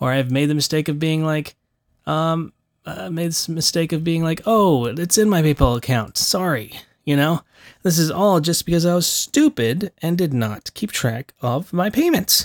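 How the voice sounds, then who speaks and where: A man mumbles at a moderate pace in a fairly high pitch. The recording is very clean, with a silent background. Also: ordinary pitch variation, dry, close sound with no echo. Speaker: voice actor and podcast host. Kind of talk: solo podcast monologue. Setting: home recording studio. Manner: casual, with many fillers.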